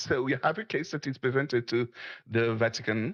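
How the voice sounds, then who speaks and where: A man is speaking with a French accent. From France. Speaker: caller. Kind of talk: casual discussion. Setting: Discord voice call. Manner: halting.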